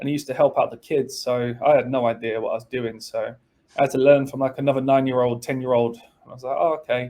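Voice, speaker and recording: In an English accent, a man with a medium pitch races along at a very fast pace, flat and monotone in intonation but with big swings in loudness. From England, Spalding and London. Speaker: college soccer assistant coach. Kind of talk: podcast interview.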